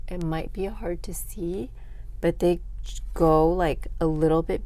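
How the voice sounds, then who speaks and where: A woman at a fairly slow pace with fairly even intonation, in audible room echo. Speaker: craft tutorial creator. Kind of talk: tutorial. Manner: casual, with filler words.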